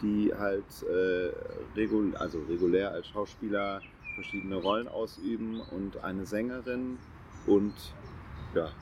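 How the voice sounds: There is a slightly mellow tone to this man's voice, and his intonation stays fairly even. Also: fairly low pitch for a man, fairly slow pace.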